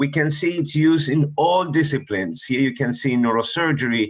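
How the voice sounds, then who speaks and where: This is a normal speaking voice at a moderate pace. Its pitch variation is ordinary. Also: man. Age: 60s. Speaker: surgeon. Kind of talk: lecture. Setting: webinar.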